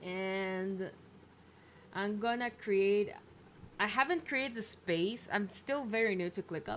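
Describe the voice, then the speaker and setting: A woman speaks at a very slow pace in a medium-pitched voice, with ordinary pitch variation and long, frequent pauses. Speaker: indie game developer streamer. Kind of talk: live stream tutorial.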